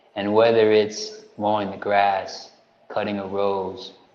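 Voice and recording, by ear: A man speaks slowly at a fairly low pitch, with little pitch movement, a slightly mellow tone and audible room echo.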